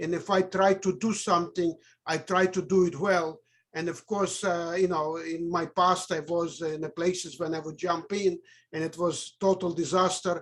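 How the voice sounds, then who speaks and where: The recording is very clean, with a silent background. A man speaks at a moderate pace with high pitch and monotone, flat intonation. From Russia. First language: Russian. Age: 60s. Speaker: network marketer. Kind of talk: testimony on a business call.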